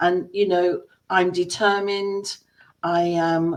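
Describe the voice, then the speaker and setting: Someone speaks at a very slow pace with an English accent. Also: woman. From England. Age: 60s. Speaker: entrepreneur, former dancer. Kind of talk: personal story presentation.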